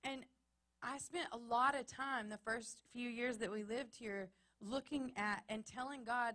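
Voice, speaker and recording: A woman in a Texas accent speaks at a fairly high pitch and fairly slow pace, her bright, sharp tone showing ordinary pitch variation. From Texas, small town. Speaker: pastor. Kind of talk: sermon. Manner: emphatic, repetitive cadence.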